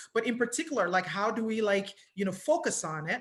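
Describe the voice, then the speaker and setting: An animated woman's voice at a medium pitch, bright and sharp in tone, with lively intonation and a fairly quick pace. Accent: American. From Nigeria, then UK from teens. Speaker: mental health counselor. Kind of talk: talk to an audience. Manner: many filler words (um).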